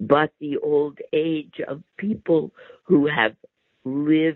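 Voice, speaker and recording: A man's fairly high voice at a very slow pace. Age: 60s. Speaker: public health professor. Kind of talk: interview.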